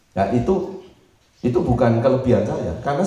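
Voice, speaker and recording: Amid noticeable background noise and audible room echo, a man speaks at a fairly quick pace and medium pitch, with very wide pitch swings. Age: 60s. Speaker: pastor. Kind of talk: sermon. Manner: conversational.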